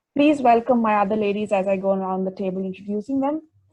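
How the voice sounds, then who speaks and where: The voice is somewhat breathy with a dark, mellow tone, moving at a fairly quick pace. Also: woman. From India, New Delhi. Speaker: podcast host. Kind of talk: casual podcast chat.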